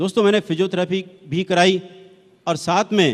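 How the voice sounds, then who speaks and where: A man speaks in a high pitch. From Delhi, India. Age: 60s. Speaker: retired transport executive giving product testimony. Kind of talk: testimony.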